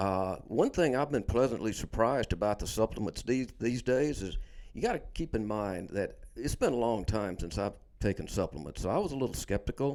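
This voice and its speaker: A man at medium pitch, with lively intonation and a fairly quick pace. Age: 60s. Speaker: fitness trainer. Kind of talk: casual chat. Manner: halting.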